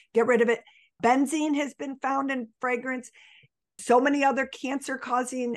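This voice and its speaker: Against a quiet background, a woman speaks at a high pitch and moderate pace with fairly even intonation. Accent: Western New York. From Buffalo, New York. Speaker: health coach. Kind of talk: interview.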